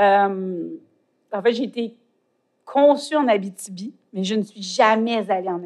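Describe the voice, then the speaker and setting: Speaking at a fairly slow pace, a woman with a medium pitch shows ordinary pitch variation, big swings in loudness and long, frequent pauses. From Quebec, Côte-Nord. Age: 40s. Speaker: poet and author. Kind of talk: interview. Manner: halting, searching for words.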